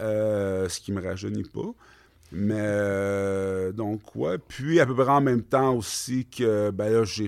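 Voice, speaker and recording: Recorded very cleanly against a silent background, a man speaks at a very slow pace with a fairly low pitch and ordinary pitch variation. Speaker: clothing brand co-founder. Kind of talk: casual interview chat.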